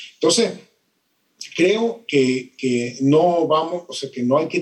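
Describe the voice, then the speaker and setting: A man is speaking. His pace is moderate. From Venezuela. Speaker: economics professor. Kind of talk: interview. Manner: hesitant, many fillers.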